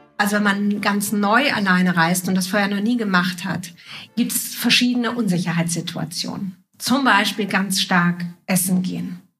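Her pitch is medium for a woman. She speaks at a moderate pace with fairly even intonation. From Juist, northern Germany. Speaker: writer and podcast host. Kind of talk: casual interview. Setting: at a coffee table in a home.

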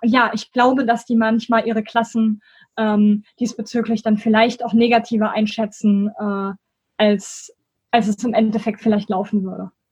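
A woman speaks at a moderate pace with a fairly high pitch. Her voice is somewhat breathy and her intonation monotone and flat. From Germany, Bonn. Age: 20s. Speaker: student and school education volunteer. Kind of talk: interview.

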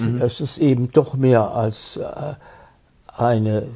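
With a dark, mellow tone, a man speaks at a medium pitch in a somewhat breathy voice. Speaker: film critic, actor and retired prosecutor. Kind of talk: interview reminiscing about his career. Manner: halting, with many repetitions and restarts.

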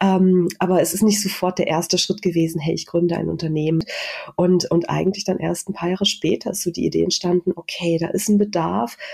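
A woman's fairly low-pitched voice, an ordinary speaking voice, at a fairly quick pace with fairly even intonation. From Saxony-Anhalt, Germany (rural village). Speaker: industrial designer and social entrepreneur. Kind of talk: interview.

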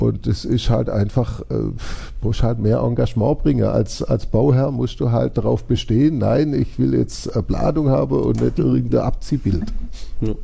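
A man speaking at a moderate pace with very even loudness. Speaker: entrepreneur. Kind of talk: interview.

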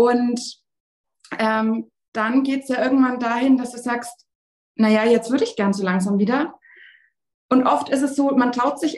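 Her pitch is high, and the woman keeps a moderate pace. She leaves long, frequent pauses. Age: 20s. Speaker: sports physiotherapist. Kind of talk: interview.

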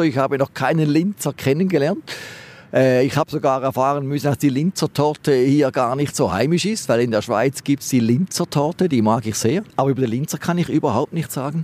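Using an ordinary speaking voice, a man talks at a fairly quick pace and fairly high pitch with ordinary pitch variation, in a dry, close sound with no echo. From Switzerland, Schaffhausen. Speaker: dentist. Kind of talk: street interview. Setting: outdoors by the river.

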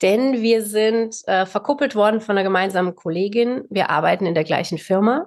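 Over a quiet background, a woman with an unremarkable speaking voice talks at medium pitch and a moderate pace with ordinary pitch variation. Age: 40s. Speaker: psychological counsellor, co-parenting expert. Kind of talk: interview.

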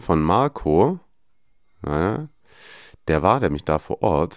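Speaking at a very slow pace with very wide pitch swings, a man is heard in a dry, close sound with no echo on a very clean recording with a silent background. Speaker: football podcast host. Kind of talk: casual chat.

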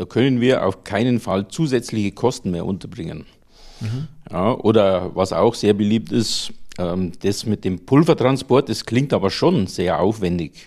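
This man has a Lower Bavarian accent and a fairly low pitch. He talks at a fairly slow pace with lively intonation. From Lower Bavaria, Germany. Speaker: plastics engineer, powder processing entrepreneur. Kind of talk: interview.

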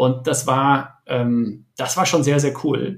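A man talks at a medium pitch with fairly even intonation. Vocal fry runs through his voice. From Germany, Ruhr area. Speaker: startup entrepreneur and investor. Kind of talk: podcast interview. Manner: hesitant, many fillers.

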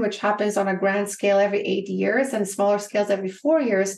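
With a Bulgarian accent, a woman speaks fairly quickly at a medium pitch. Her intonation stays fairly even. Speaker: business coach. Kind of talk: interview.

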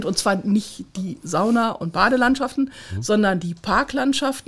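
A woman speaks at a moderate pace and a fairly high pitch. Her voice is somewhat breathy. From Ruhr area, Kreis Unna. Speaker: regional director of a municipal association. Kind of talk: interview.

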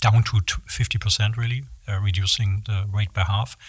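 A man speaks with a German accent at a fairly slow pace, his pitch fairly low and his intonation fairly even. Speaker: materials engineer. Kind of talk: interview.

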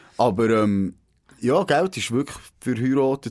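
A man talks fairly slowly on a very clean recording with a silent background. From Switzerland, Grenchen (canton Solothurn). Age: 30s. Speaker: podcast host, former newspaper journalist. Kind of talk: casual chat. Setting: radio studio.

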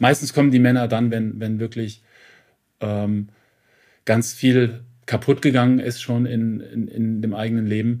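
The man's intonation is monotone and flat. He speaks at medium pitch and a fairly slow pace. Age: 50s. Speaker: men's counsellor and author. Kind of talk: interview. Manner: hesitant, many fillers; matter-of-fact.

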